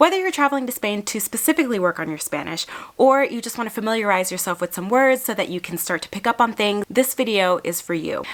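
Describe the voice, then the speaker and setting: A woman's fairly high, animated voice with lively intonation, a very fast pace and hardly any pauses, against noticeable background noise. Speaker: travel vlogger and linguist. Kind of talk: tutorial.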